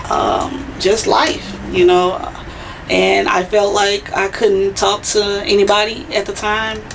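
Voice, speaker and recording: The pace is very slow as a woman speaks. Noticeable background noise runs underneath. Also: medium pitch for a woman, ordinary pitch variation. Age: 30s. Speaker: poet. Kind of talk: interview.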